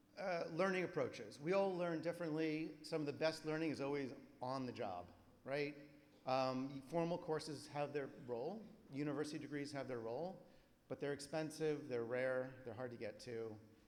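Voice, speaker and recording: There is audible room echo. A man speaks with a fairly high pitch. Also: ordinary pitch variation. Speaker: conference presenter. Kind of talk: conference presentation. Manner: fast.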